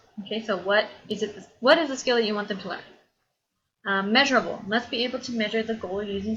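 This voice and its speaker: Audible room echo surrounds a woman who speaks very fast at a fairly high pitch with ordinary pitch variation. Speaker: college instructor. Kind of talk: lecture.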